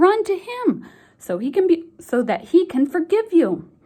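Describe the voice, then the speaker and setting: A woman's put-on character voice, squeaky and extremely high in pitch, with very wide pitch swings at a moderate pace. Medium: read story.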